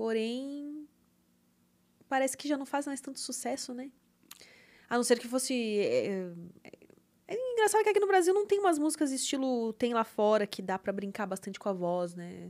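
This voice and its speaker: High female speech at a moderate pace, with very wide pitch swings, big swings in loudness and long, frequent pauses against a quiet background. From southern Brazil, Porto Alegre area; Rio Grande do Sul, Brazil. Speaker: singer and webcam model; podcast guest. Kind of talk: casual interview chat. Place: studio. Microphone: studio mic.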